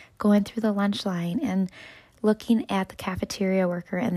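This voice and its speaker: With an American accent, a woman speaks in a warm, somewhat breathy tone on a very clean recording with a silent background. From West Michigan. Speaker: school staff member and podcaster. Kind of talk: reflective motivational monologue. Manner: warm, encouraging.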